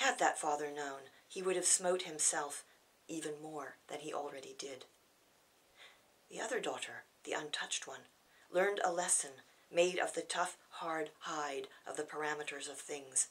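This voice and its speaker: A woman with an American accent and a very deep, low pitch, ordinary pitch variation, a moderate pace and long, frequent pauses. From California, United States. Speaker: poet. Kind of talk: poetry reading. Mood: grave, measured. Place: home room. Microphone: camera far.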